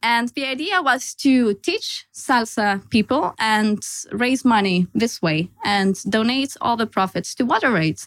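At a fairly slow pace, a woman with a Lithuanian accent speaks at a fairly high pitch with lively intonation, on a very clean recording with a silent background. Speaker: consultant. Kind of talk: casual chat.

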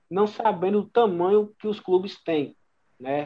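A man does the talking. His speech is very slow. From Bahia, Brazil (interior). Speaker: radio sports reporter. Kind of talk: casual chat. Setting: video call.

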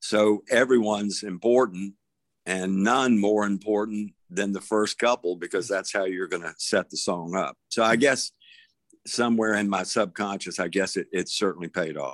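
Recorded very cleanly against a silent background, with a dry, close sound and no echo, a man with a Southern US accent talks at a moderate pace, his fairly low pitch varying in an ordinary way. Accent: Southern US (Georgia). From US South. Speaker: songwriter. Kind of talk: casual chat.

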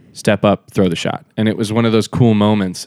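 Fairly low in pitch, a man with a plain, everyday voice keeps his intonation fairly even. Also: very clean recording, silent background. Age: 30s. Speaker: disc golf pro. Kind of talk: casual interview chat. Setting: hotel room.

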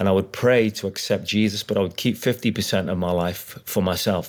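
A man's very fast, fairly low voice in a Liverpool accent, with fairly even intonation. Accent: Liverpool (Scouse). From Liverpool, England. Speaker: evangelist. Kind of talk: testimony.

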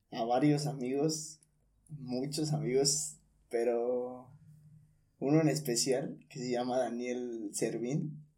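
In a room with audible echo, a man speaks very slowly at a medium pitch, his tone dark and mellow and his intonation fairly even. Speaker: communication student. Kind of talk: casual chat.

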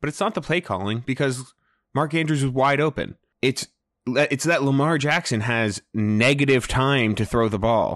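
Over a quiet background, a man with a normal speaking voice talks at a moderate pace. His pitch is medium, with ordinary pitch variation. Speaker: fantasy football podcast co-host. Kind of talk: casual chat. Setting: remote recording, hosts in different places.

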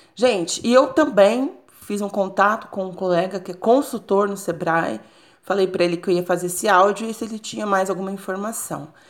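A woman with a Brazilian accent at medium pitch and a moderate pace, with ordinary pitch variation and big swings in loudness. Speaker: business psychologist. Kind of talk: solo podcast monologue. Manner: halting, repeats words.

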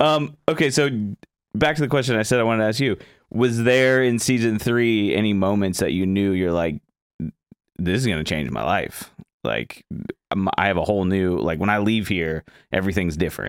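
Speaking with an American accent, a man in a plain, everyday voice uses a fairly low pitch, lively intonation and a moderate pace. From Florida. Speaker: podcast host. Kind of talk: casual interview chat. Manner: laid-back, chatty, laughs often.

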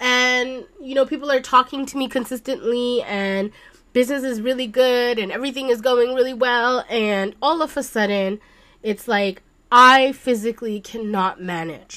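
This woman has a high pitch and a bright, sharp tone. She speaks at a moderate pace with ordinary pitch variation. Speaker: solo podcast host. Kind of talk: casual monologue. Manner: casual with filler words.

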